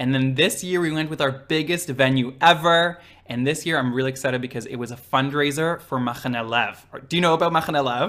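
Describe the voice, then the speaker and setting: A man with a slight Israeli accent talks at a very fast pace. His pitch is fairly high, with ordinary pitch variation. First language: Hebrew. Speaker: drag queen. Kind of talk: casual interview.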